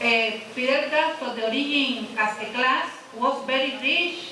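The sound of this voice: With a bright, sharp tone and high pitch, a woman speaks at a fairly slow pace amid audible room echo. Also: ordinary pitch variation.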